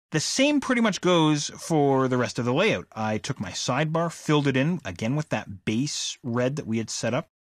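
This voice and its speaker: A man with a normal speaking voice, lively intonation and hardly any pauses at a moderate pace, on a very clean recording with a silent background and a dry, close sound with no echo. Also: fairly high pitch for a man. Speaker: software instructor. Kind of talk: tutorial.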